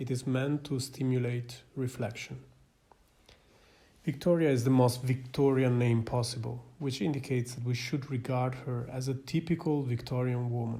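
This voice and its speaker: With a non-native accent, a man speaks at medium pitch in a dark, mellow, somewhat breathy tone and a monotone, flat intonation. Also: moderate pace. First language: not English. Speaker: psychiatrist and film commentator. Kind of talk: scripted film analysis narration. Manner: formal.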